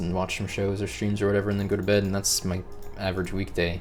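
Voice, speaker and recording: Speaking at a fairly quick pace, a man with a very deep, low voice is heard with audible room echo. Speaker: gaming video creator. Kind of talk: casual monologue. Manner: monotone, not excitable; pauses to collect thoughts.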